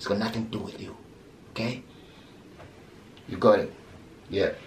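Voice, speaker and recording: A man talks at a fairly quick pace, his loudness swinging widely. Audible echo fills the room. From Zimbabwe. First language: not English. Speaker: comedian. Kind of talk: stand-up.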